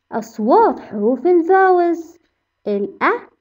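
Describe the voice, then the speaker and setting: A woman's voice with very wide pitch swings, at a very slow pace. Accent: Egyptian. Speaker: English teacher. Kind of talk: tutorial. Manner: animated.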